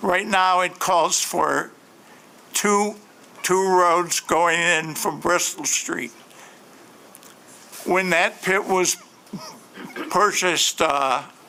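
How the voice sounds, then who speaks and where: Over noticeable background noise, a man with an American accent and a high pitch speaks at a very slow pace, with ordinary pitch variation, very even loudness, and long, frequent pauses. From Grand Rapids, Michigan. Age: 70s. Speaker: local resident at public hearing. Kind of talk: public comment. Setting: city planning commission meeting.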